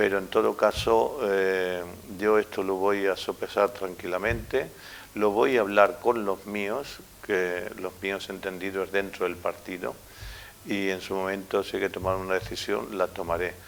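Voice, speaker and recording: A man with a plain, everyday voice speaks at a fairly low pitch with fairly even intonation. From Spain, Castilla-La Mancha (Valdepeñas). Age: 60s. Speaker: mayor. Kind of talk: interview answers.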